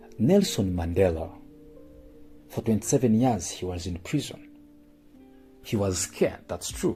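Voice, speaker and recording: Over music in the background, a man talks at a fairly slow pace with long, frequent pauses. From Uganda. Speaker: motivational speaker. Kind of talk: motivational spoken word. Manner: emotional, earnest.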